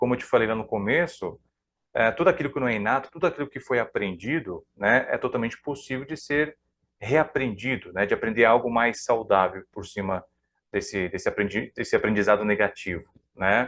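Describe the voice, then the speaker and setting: A plain, everyday voice belongs to a man speaking at a medium pitch and a fairly quick pace with ordinary pitch variation. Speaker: psychoanalyst. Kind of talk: live stream talk. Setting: live stream.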